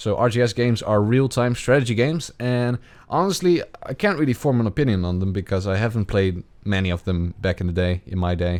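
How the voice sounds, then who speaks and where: The man's intonation is lively. His pitch is fairly low. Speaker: gaming youtuber. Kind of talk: Q&A answering viewer questions. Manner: halting, many fillers. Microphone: good clear microphone, compression and bass added.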